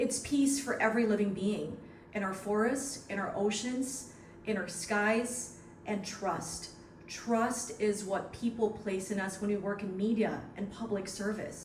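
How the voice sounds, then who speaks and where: Noticeable background noise sits behind a woman's medium-pitched voice. She speaks at a fairly slow pace with fairly even intonation. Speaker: broadcast journalist, senior news anchor and radio host. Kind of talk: award acceptance speech to camera.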